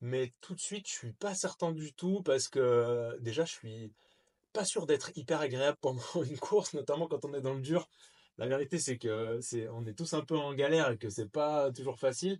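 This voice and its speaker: A man speaks at a moderate pace with a fairly high pitch and ordinary pitch variation, the sound dry and close with no echo over a quiet background. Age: 30s. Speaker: trail runner. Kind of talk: casual talk to camera. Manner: casual, hesitant.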